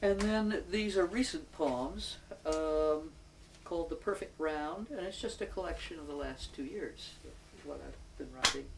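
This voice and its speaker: With an American accent, a woman talks at a fairly slow pace with big swings in loudness, amid audible room echo and noticeable background noise. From New York City, Manhattan. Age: 70s. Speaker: retired poet and local community member. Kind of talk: oral history interview. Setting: at home.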